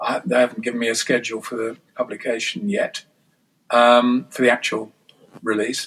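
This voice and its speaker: In an English accent, a man with a medium pitch speaks at a moderate pace with ordinary pitch variation. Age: 60s. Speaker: scholar and author. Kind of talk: interview. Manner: halting, many false starts.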